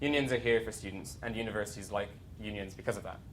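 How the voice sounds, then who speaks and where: Over audible room echo, a man talks at a very fast pace with ordinary pitch variation. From outside UK, US, Canada and Ireland. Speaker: students' union president. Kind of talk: conference talk. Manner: hesitant, many fillers.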